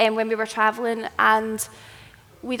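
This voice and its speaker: A woman speaks with a strong Scottish accent. Her pitch is fairly high. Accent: thick Scottish. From Scotland. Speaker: travel content creator and writer. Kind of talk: live presentation.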